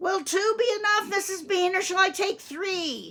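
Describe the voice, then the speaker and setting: Using a put-on character voice, a woman speaks with extremely high pitch and fairly even intonation at a moderate pace. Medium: read story. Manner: coarse, deferential.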